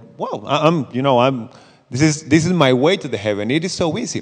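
A man speaks with a Spanish accent. His pitch swings very widely. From Costa Rica. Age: 30s. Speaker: missionary. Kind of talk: church talk. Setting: church with audience.

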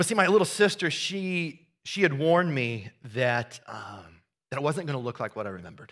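Over a silent background in a very clean recording, a man with a Midwestern American accent talks at a fairly quick pace, his fairly high pitch swinging very widely. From US Midwest, southeast Iowa. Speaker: pastor. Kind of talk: sermon. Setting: church. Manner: conversational.

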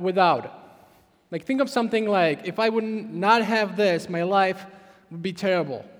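This man speaks at a fairly slow pace with a Czech accent, his high-pitched voice showing ordinary pitch variation. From Czech Republic. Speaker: pastor. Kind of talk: sermon. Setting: church.

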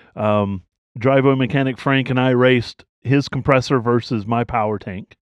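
A man with an American accent talks at a moderate pace and medium pitch, his intonation fairly even. He has an unremarkable speaking voice, and the sound is dry and close with no echo. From US South. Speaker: podcast host. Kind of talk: casual chat.

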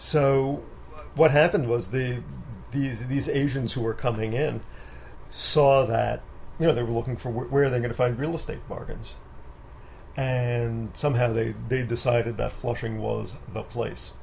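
Speaking at a moderate pace and a medium pitch, a man leaves long, frequent pauses. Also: fairly even intonation. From New York City, Queens. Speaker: composer. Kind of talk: casual interview. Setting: home studio.

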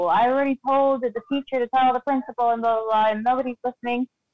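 A woman speaking at a very fast pace. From Guatemala. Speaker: guest. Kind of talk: casual chat.

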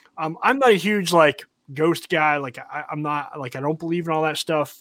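Recorded very cleanly against a silent background, with a dry, close sound and no echo, a plain, everyday voice speaks with an American accent. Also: man. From North Carolina. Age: 30s. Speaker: podcast host. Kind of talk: casual chat.

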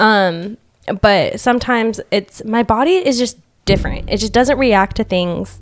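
At a fairly slow pace, a woman talks in an unremarkable speaking voice, fairly high in pitch, with ordinary pitch variation. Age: 20s. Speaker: hairstylist. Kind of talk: casual chat. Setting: studio.

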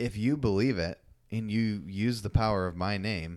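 Very clean recording, silent background, and a man with an American accent, fairly low in pitch, at a moderate pace with ordinary pitch variation. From Iowa, US Midwest. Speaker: pastor and podcast co-host. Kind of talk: casual chat.

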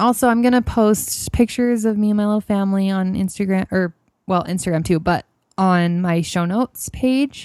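In a normal speaking voice, a woman with an American accent talks at a moderate pace, medium in pitch with ordinary pitch variation, on a very clean recording with a silent background and a dry, close sound with no echo. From US West, Idaho. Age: 20s. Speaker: podcast host. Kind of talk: personal storytelling monologue.

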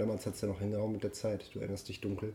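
A somewhat breathy man with a fairly low pitch and a dark, mellow tone. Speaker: podcast host. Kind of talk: casual interview. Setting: live recording with mobile recorder. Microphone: mobile recorder, poor quality.

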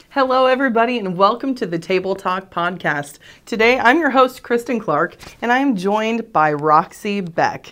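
A woman with an American accent talks at a moderate pace in an ordinary speaking voice, her intonation lively. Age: 30s. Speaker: podcast host. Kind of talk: casual interview.

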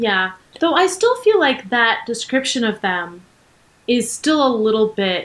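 Speaking at a fairly slow pace, a woman uses a plain, everyday voice with a fairly high pitch and lively intonation. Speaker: podcast co-host. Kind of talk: casual chat. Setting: video call.

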